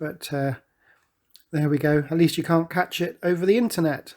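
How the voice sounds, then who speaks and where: On a very clean recording with a silent background, a man with a British accent speaks with fairly even intonation. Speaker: forex trading commentator. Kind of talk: market analysis tutorial.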